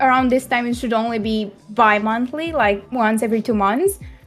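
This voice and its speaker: A woman speaks with a Romanian accent. Her pitch is high. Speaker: streamer, podcast guest. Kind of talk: casual chat.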